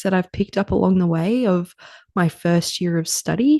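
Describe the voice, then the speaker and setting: Against a quiet background, a woman speaks with an Australian accent and a dark, mellow tone. Her pitch is fairly low, with ordinary pitch variation. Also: dry, close sound with no echo. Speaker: podcast host, naturopathy student. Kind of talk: casual solo podcast talk. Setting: home at night, kids' bedtime. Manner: quiet, soft.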